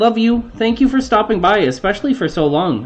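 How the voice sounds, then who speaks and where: With music behind him, a man talks at a medium speed. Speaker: streamer painting miniatures. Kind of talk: casual livestream chat. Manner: loud.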